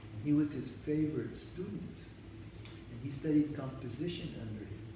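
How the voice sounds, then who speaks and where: A man's fairly high voice with ordinary pitch variation and big swings in loudness, plus audible room echo and noticeable background noise. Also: moderate pace. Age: 70s. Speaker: interviewee discussing his father's cantorial music. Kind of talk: interview. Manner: halting, many restarts.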